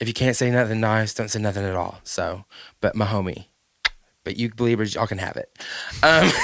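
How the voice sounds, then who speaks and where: A man speaks with a Southern accent. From US South. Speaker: podcast host. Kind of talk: casual chat. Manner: animated.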